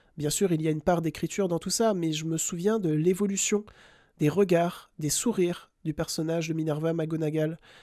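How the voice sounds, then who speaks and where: Speech unfolds at a moderate pace. The recording is very clean and the background silent. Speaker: film podcaster. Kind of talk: tribute monologue. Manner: calm, measured.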